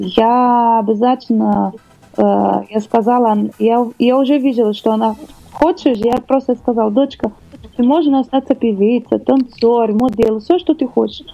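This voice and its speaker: In a Portuguese accent, a woman speaks at a fairly slow pace with very even loudness. Noticeable background noise runs underneath. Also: fairly high pitch for a woman, fairly even intonation. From Brazil, Rio de Janeiro. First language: Portuguese (speaking Russian). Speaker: singer. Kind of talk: interview. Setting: studio. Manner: halting.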